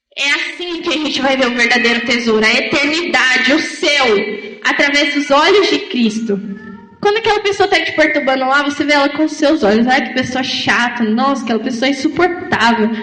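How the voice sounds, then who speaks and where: A woman's high-pitched, raised and projected voice with lively intonation, amid noticeable background noise and audible room echo. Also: moderate pace. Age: 20s. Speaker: lay preacher. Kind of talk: sermon.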